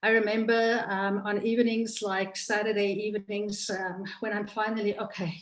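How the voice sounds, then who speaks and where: Speaking in a South African accent, a woman keeps a moderate pace with hardly any pauses. Her medium-pitched voice has monotone, flat intonation and audible room echo. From South Africa, Cape Town. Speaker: political candidate. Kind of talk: campaign speech.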